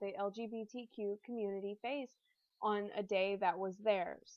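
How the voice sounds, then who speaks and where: Speaking with a Southern accent, a woman has a fairly high pitch with ordinary variation. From US South (military family, moved around). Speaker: student. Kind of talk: class presentation, scripted. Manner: reading aloud.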